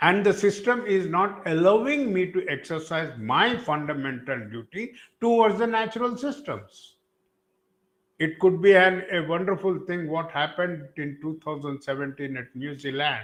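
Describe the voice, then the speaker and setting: In an Indian accent, a man speaks at a moderate pace with a high pitch and very wide pitch swings. The background is quiet. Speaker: environmental activist. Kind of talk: panel talk. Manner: halting.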